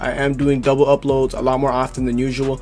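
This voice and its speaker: Music plays in the background as a man with a fairly high pitch talks at a very fast pace. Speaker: gaming youtuber. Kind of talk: tutorial. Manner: casual, filler-heavy.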